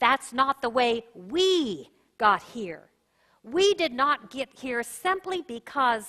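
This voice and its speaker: Raising and projecting her voice, a woman speaks very slowly in a high, bright, sharp tone with very wide pitch swings, against a quiet background. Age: 60s. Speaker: pastor. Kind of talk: sermon.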